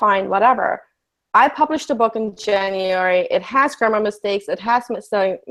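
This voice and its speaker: Speaking at a fairly quick pace with ordinary pitch variation, a woman talks in a German accent. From Germany. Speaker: life coach. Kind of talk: casual chat.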